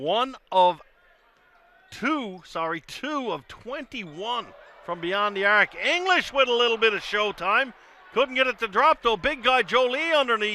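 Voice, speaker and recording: With a raised, projected voice, a man speaks fairly slowly at an extremely high pitch, his intonation lively. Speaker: play-by-play commentator. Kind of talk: live sports commentary. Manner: loud when excited.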